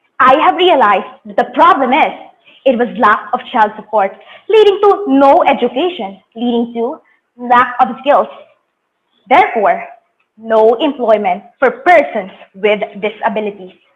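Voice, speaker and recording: A woman with a Filipino accent speaks at a high pitch and a fairly slow pace. Her pitch swings very widely, with long, frequent pauses. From Philippines, Bicol region. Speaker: youth competition presenter. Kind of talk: presentation speech.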